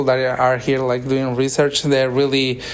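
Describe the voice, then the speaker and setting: Over noticeable background noise, a man with a Spanish accent talks at a fairly quick pace and a medium pitch. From Mexico. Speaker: interviewer, engineering student visitor. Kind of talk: casual interview. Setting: university lab. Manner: halting, hesitant.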